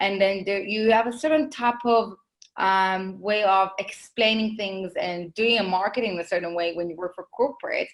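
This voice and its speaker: Female speech at medium pitch and moderate speed, its pitch varying in an ordinary way. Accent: Israeli. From Israel. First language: Hebrew. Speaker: marketing consultant, business owner. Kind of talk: podcast interview.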